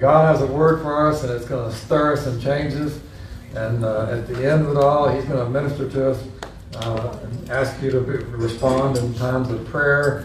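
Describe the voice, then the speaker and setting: Noticeable background noise sits behind a man talking at a moderate pace. His medium pitch stays fairly even in intonation. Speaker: pastor. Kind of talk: sermon and worship prayer. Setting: church.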